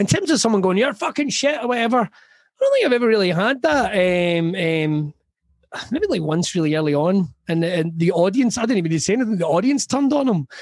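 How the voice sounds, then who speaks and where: A man with a west of Scotland accent speaks at a fairly quick pace in a high voice, his pitch swinging very widely while his loudness stays very even. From Scotland, Ayrshire. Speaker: comedian. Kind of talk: casual chat.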